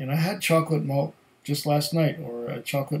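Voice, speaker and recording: At a moderate pace, a man talks in a somewhat breathy voice with ordinary pitch variation. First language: German. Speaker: whisky tasting video host. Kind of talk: casual solo tasting review. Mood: relaxed, thoughtful. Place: home room.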